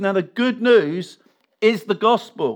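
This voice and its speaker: A man with an English accent and fairly even intonation. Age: 50s. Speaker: pastor. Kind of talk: sermon.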